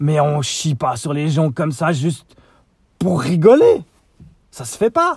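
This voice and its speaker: A man with a Swiss accent speaks at a fairly slow pace, his fairly high voice carrying a dark, mellow tone. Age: 40s. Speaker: podcaster. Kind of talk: solo vlog rant. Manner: halting, many hesitations.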